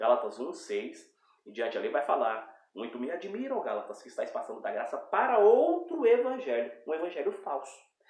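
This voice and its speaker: A man speaks with hardly any pauses, his loudness swinging widely. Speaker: preacher. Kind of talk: bible teaching. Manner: fast.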